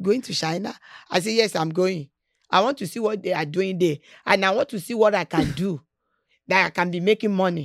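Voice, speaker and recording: The speech moves at a fairly quick pace, broken by long, frequent pauses. The recording is very clean, with a silent background. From Nigeria. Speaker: businesswoman. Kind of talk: interview.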